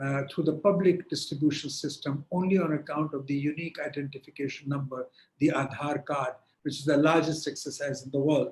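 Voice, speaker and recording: Somewhat breathy, a man speaks at a fairly high pitch. His pace is fairly quick and his intonation fairly even. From India. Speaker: panel speaker on digital policy. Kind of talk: online panel discussion. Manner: hesitant, many fillers.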